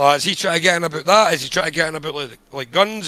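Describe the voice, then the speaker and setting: A man with a Scottish accent speaks at a very fast pace. His fairly high-pitched voice has a bright, sharp tone. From Scotland. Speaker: podcast co-host reviewing screenplays. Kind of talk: casual chat. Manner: animated.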